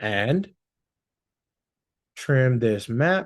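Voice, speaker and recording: A man speaks with lively intonation. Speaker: social media agency owner. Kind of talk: tutorial. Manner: casual.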